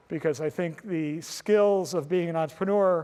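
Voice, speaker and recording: At a moderate pace, a man talks in a normal speaking voice with a fairly high pitch. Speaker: entrepreneur speaking to students. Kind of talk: lecture.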